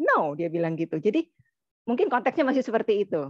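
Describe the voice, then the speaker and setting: Over a quiet background, a woman speaks in a dry sound with no echo. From Indonesia, Chinese-Indonesian family. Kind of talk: casual discussion. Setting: video call. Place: home room. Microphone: video call.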